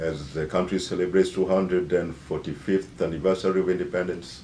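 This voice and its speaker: Amid audible room echo, a man with a Kenyan accent speaks at a fairly quick pace, his very deep, low pitch carrying a dark, mellow tone and vocal fry. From Kenya, Nairobi. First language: Bukusu. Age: 50s. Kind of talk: self-introduction. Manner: hesitant, many fillers.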